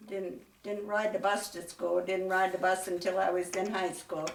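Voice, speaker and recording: A woman speaks at a fairly slow pace in a medium pitch with a western Pennsylvania accent, her intonation monotone and flat. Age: 90s. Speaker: school alumna. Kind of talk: interview. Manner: halting.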